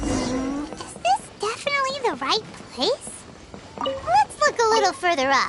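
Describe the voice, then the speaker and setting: In a put-on character voice, the speaker uses an extremely high pitch with very wide pitch swings. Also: moderate pace. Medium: machinima. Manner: lively, forthright.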